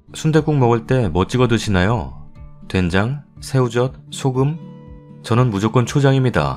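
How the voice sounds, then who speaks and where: Very wide pitch swings from a man at a medium pitch, very slow pace, with music in the background. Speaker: story narrator reading online forum stories. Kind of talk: casual talk to camera.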